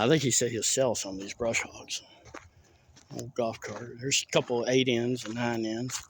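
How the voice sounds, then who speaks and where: Over noticeable background noise, a man with a medium pitch speaks in a monotone, flat intonation. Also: moderate pace, big swings in loudness. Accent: Southern US. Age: 30s. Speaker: rural vlogger. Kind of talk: casual walkthrough narration.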